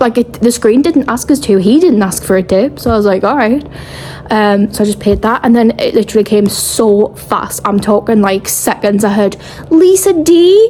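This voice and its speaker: A woman's mumbling at a moderate pace with a British accent, fairly high pitch and very even loudness, over noticeable background noise. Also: lively intonation. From England. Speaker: travel vlogger. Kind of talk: casual vlog chat.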